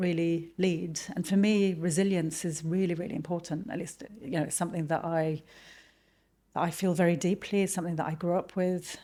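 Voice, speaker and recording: A woman's dark, mellow voice in a British accent, fairly low in pitch, with fairly even intonation at a moderate pace. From Lebanon, moved to UK at twelve. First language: Arabic and French. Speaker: marketing executive. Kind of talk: podcast interview.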